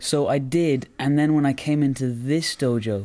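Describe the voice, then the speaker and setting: A man with an Irish accent and a dark, mellow tone talks with ordinary pitch variation on a very clean recording with a silent background. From Ireland, Roscommon. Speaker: karate practitioner and podcast co-host. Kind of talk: casual chat.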